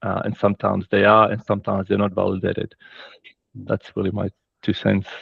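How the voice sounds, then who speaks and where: Using a non-native accent, a man talks at a very fast pace and fairly low pitch, monotone and flat, with long, frequent pauses. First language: not English. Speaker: safety practitioner, former frontline worker. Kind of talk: webinar discussion.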